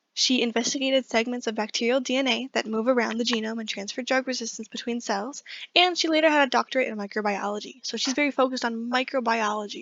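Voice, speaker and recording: A woman speaking very fast at a high pitch, with fairly even intonation. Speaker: biology student. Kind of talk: class presentation. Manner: casual.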